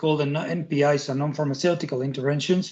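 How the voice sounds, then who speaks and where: Somewhat breathy and fairly high-pitched, a man speaks with a Spanish accent and fairly even intonation. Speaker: tech company representative. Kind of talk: presentation. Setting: video call. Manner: halting, many repetitions and fillers.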